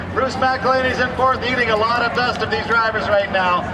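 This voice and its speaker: A man at a moderate pace over crowd noise in the background. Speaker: rodeo race announcer. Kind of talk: live sports commentary. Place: stadium.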